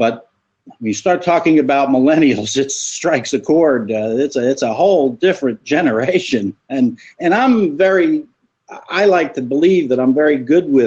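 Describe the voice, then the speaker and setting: With an ordinary speaking voice, a man talks at a moderate pace and a fairly high pitch, with lively intonation. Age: 60s. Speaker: viewer joining the live chat. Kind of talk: casual discussion.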